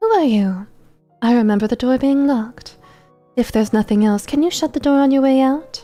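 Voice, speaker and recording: Faint music plays behind a woman doing a shrill, high-pitched put-on character voice. Her pace is fairly quick. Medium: game stream. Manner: cloyingly sweet, toying.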